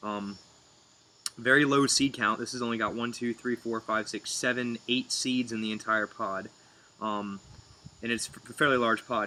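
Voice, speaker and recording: Against noticeable background noise, a man speaks in a monotone, flat intonation at medium pitch and a moderate pace, with long, frequent pauses. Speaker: pepper reviewer. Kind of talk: casual video review. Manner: loud; halting, many fillers.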